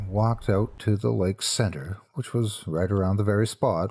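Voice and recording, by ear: Natural voice for reading aloud, intonation fairly even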